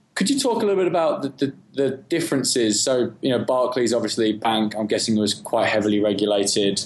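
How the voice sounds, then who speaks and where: A man with an English accent talks at a fairly quick pace. Noticeable background noise runs behind him. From England. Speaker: podcast co-host. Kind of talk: interview.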